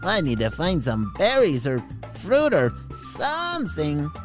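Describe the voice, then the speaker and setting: With clear music in the background, a man puts on a character voice and speaks at a fairly slow pace. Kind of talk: bedtime story. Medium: read story. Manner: cheerful, animated.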